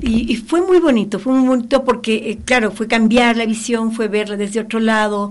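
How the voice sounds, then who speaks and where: A woman speaks in a somewhat breathy voice with a fairly high pitch. Her pace is moderate and her pitch variation ordinary. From Ecuador. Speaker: children's author. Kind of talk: radio interview.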